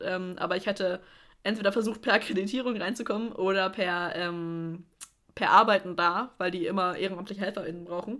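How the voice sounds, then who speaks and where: The woman's intonation remains fairly even. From Middle Franconia, Germany. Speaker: music podcast co-host, student. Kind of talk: casual chat.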